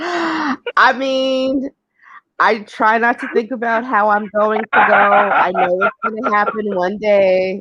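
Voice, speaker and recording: Very slow woman's voice with a slight New York accent, fairly high pitch and ordinary pitch variation. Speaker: live stream host. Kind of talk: casual chat. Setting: live stream.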